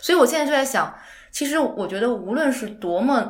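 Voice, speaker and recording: A woman talks at a fairly quick pace with lively intonation, amid noticeable background noise and audible room echo. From outside Beijing, China. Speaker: home design researcher. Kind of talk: casual chat.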